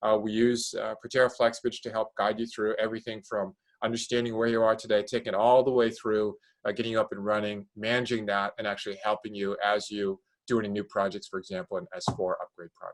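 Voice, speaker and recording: This man talks at a very fast pace with fairly even intonation, in a dry, close sound with no echo. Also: medium pitch for a man. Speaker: product and marketing executive. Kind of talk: product presentation. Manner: hesitant, many fillers.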